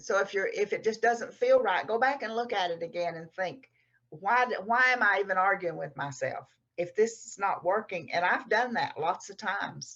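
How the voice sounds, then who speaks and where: A woman with a strong Texas accent, medium pitch, lively intonation and big swings in loudness. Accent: strong Texas drawl. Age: 70s. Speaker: novelist. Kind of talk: interview.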